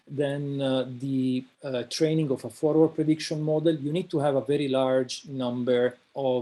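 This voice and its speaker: A man with an Italian accent speaks at a moderate pace and a fairly high pitch with ordinary pitch variation. His tone is dark and mellow. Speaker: invited speaker, researcher. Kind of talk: lecture. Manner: halting, many fillers.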